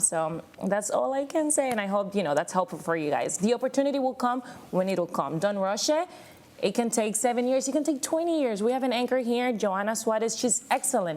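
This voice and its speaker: A woman with a fairly high pitch talks at a fairly quick pace, making very wide pitch swings. Her loudness stays very even. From Miami, Florida (Cuban-American). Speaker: TV news reporter. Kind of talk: panel discussion.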